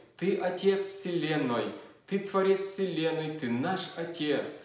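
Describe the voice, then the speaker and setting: Against a quiet background with audible room echo, a man speaks at a very slow pace. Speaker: preacher. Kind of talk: fervent prayer, addressing God with earnest pleading; sermon on scripture. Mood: fervent prayer, eyes closed. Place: home room. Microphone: phone near.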